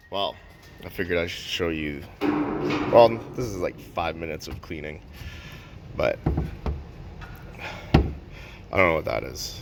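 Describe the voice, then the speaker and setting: Amid noticeable background noise, a man with a very deep, low pitch speaks fairly slowly in a relaxed tone, with ordinary pitch variation, big swings in loudness and long, frequent pauses. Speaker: mechanic making a how-to video. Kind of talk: tutorial. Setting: workshop at work. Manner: whispering; casual, relaxed.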